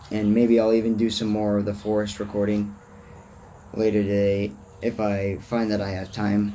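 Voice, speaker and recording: A man's fairly low-pitched voice, dark and mellow in tone, with monotone, flat intonation at a moderate pace amid audible room echo. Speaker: vlogger. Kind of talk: casual monologue rant. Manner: rambling tangents, casual.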